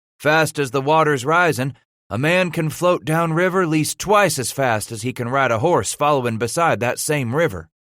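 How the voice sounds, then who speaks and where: Using a put-on character voice, a man drawls at a moderate pace with a fairly high pitch on a very clean recording with a silent background. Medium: read story. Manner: drawling frontier dialect.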